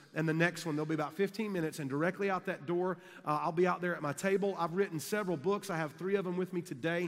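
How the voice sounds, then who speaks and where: A man talks very fast in a high voice with fairly even intonation. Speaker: conference speaker. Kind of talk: sermon. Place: hall. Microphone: headset.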